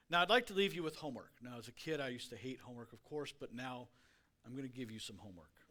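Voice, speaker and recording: A man's very fast, bright and sharp speech at a medium pitch, with big swings in loudness. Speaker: guest speaker. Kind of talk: sermon. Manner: slurring words.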